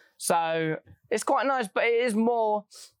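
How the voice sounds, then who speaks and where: A woman with a normal speaking voice talks at a fairly slow pace with lively intonation, in a dry, close sound with no echo. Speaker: musical theatre performer. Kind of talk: casual chat.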